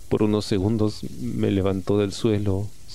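A passage is read aloud in a plain manner.

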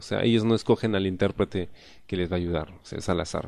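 A man speaks with ordinary pitch variation. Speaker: podcast host. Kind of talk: casual monologue.

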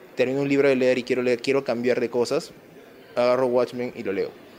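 Noticeable background noise is present. The talking goes very fast. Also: man. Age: 20s. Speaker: comic shop owner. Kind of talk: casual interview.

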